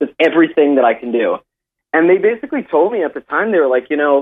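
With an American accent, this man has an unremarkable speaking voice, fairly high in pitch, with ordinary pitch variation. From US, Miami, Florida. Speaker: singer-songwriter. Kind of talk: casual interview. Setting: phone call. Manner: chatty, filler-heavy.

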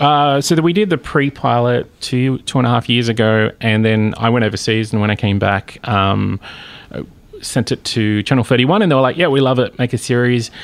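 The speaker talks at a moderate pace with ordinary pitch variation in an Australian accent. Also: man, medium pitch for a man. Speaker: TV series creator. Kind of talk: interview. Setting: studio.

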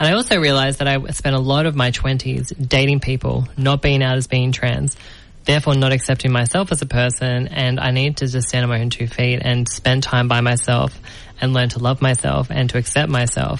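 This woman has a very deep, low pitch and an Australian accent. She talks at a fairly quick pace with very even loudness and a monotone, flat intonation. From New South Wales, Australia. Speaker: podcast host and actress. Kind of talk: interview. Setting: studio.

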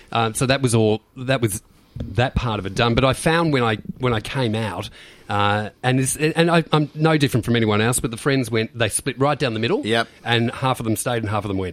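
Pace is fairly quick. The man speaks with an Australian accent. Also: medium pitch for a man, ordinary pitch variation. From Melbourne, Australia (Beaumaris, Bayside). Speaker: club promoter and DJ. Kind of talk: casual chat. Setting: radio studio.

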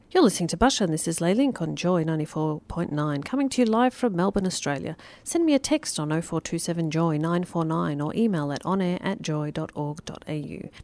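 With an unremarkable speaking voice, a woman talks at a fairly quick pace and fairly low pitch, using lively intonation and hardly any pauses. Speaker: radio host. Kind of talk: radio show interview, casual chat. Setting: studio. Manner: chatty, upbeat, laughing.

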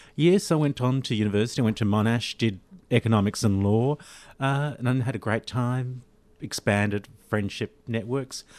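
The voice comes with an Australian accent in a dry, close sound with no echo. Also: man, medium pitch for a man, ordinary pitch variation, moderate pace, quiet background. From Australia (Sydney). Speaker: lawyer and arts patron. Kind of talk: interview. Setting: studio.

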